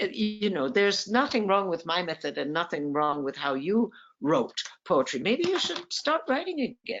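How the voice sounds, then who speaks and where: A medium-pitched female voice at a moderate pace, with very wide pitch swings and music in the background. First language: French. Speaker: poet and writing teacher. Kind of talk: interview on a video call. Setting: video call.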